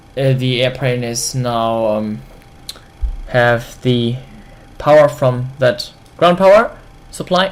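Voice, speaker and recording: The speaker has a German accent and talks at a very slow pace. Long, frequent pauses run through the speech. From Germany. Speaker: flight simulator video creator. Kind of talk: tutorial. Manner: halting.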